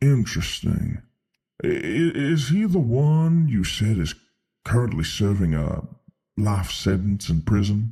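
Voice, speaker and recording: At a fairly slow pace, a man puts on a character voice at medium pitch. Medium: read story. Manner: calm, measured.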